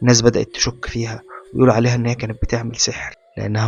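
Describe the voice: Text read aloud in a plain way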